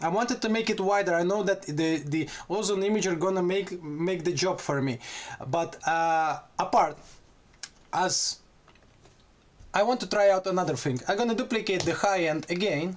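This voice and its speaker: Speaking with a Russian accent, a man uses a high pitch and ordinary pitch variation at a moderate pace, broken by long, frequent pauses. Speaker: music producer. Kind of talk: tutorial. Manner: halting.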